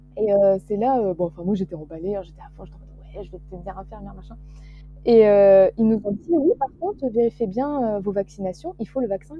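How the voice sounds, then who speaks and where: Over music in the background, a woman at medium pitch talks at a fairly quick pace, with ordinary pitch variation and big swings in loudness. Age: 20s. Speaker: young illustrator and student. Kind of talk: casual interview. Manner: hesitant, many fillers.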